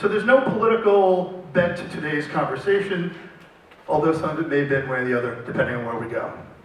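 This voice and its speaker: Amid noticeable background noise and audible room echo, a man with a high pitch speaks at a very fast pace with lively intonation. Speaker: panel moderator. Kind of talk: moderated panel discussion.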